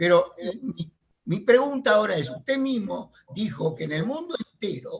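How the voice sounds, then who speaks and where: A man with a high pitch speaks at a moderate pace, his voice moving in very wide pitch swings. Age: 70s. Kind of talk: heated debate.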